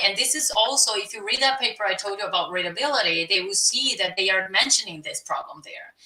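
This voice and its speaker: A woman with a Brazilian Portuguese accent, lively intonation and a fairly quick pace, over noticeable background noise. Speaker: scientist and science writer. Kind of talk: webinar talk and interview. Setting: live video stream.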